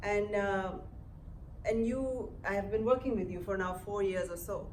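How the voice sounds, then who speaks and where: Amid audible room echo and noticeable background noise, a woman talks at a moderate pace with a medium pitch and fairly even intonation. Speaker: interviewer, academic. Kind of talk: on-stage interview.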